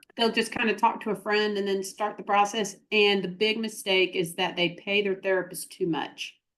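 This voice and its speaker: Hardly pausing, a woman with a Southern US accent talks at a moderate pace in a monotone, flat intonation at medium pitch. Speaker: therapist and practice consultant. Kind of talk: interview.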